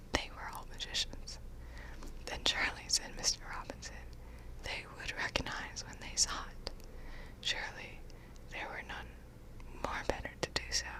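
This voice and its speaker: A woman whispers at a fairly slow pace, with long, frequent pauses. Her loudness swings widely, and there is noticeable background noise. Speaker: ASMR audiobook reader. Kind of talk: audiobook narration. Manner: soft-spoken.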